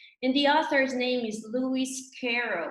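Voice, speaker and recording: A woman speaks in a Brazilian Portuguese accent with a high pitch and a bright, sharp tone. Room echo is audible. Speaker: labour judge, guest speaker. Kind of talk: webinar talk. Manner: slow.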